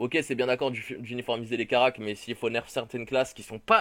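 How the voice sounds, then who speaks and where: A man in a normal speaking voice, medium-pitched at a moderate pace, on a very clean recording with a silent background. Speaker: gaming youtuber. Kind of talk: casual commentary reading patch notes.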